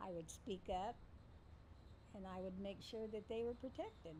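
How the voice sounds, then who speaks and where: A woman at medium pitch with fairly even intonation, amid noticeable background noise and audible room echo. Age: 60s. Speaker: mother and grandmother interviewed about family. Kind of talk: interview storytelling.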